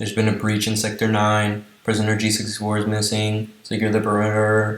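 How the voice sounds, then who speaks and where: A man does a robotic put-on character voice, fairly low in pitch, with monotone, flat intonation. He talks at a fairly quick pace, and a slight echo is audible. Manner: loud, urgent.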